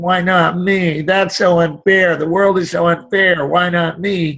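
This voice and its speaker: A whiny put-on character voice speaks at a fairly slow pace with flat, monotone intonation. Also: man, high pitch for a man. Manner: whining, complaining.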